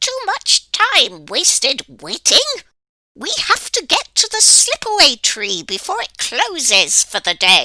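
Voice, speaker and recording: A squeaky, put-on character voice moves at a fairly slow pace. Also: woman, extremely high pitch for a woman. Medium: read story. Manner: impatient, brisk.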